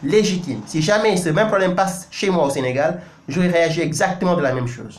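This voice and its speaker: A man with a Senegalese accent talks at a fairly quick pace and a high pitch, with noticeable background noise and audible room echo. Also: ordinary pitch variation. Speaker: news website editor and commentator. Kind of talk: video commentary monologue. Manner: emphatic, impassioned; frequent hesitations and self-corrections.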